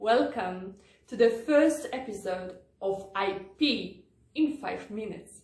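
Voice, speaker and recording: Speaking very slowly in a Polish accent, a woman keeps a medium pitch, with lively intonation and big swings in loudness. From Poland. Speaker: lawyer. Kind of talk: tutorial. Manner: formal.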